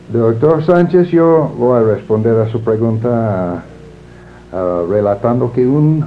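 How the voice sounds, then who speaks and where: With an English accent, a man talks at a fairly slow pace in a medium pitch, his intonation lively. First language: English (speaking Spanish). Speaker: librarianship scholar. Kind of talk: interview. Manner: halting, many fillers.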